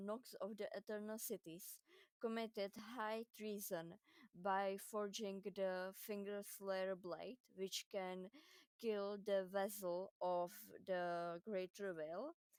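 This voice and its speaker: A woman speaks at a medium pitch and a very slow pace, her intonation monotone and flat. The sound is dry and close with no echo. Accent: non-native. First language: not English. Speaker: gaming lore video creator. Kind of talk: video game lore explainer.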